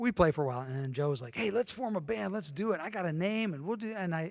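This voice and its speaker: In a very clean recording with a silent background, a man with an American accent talks at a very fast pace, his pitch swinging very widely. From northwestern Pennsylvania. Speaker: church member sharing faith story. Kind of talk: testimony.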